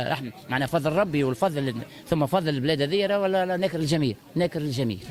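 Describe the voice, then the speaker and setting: Over noticeable background noise, a man talks at a very fast pace with lively intonation. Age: 60s. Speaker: market shopper interviewed. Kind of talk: street interview.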